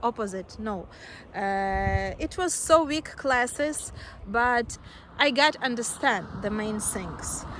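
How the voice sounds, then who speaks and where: A woman speaks very slowly with a Russian accent. Her fairly high voice has lively intonation. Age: 20s. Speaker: nail technician, video creator. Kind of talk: casual self-introduction vlog. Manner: halting, many fillers.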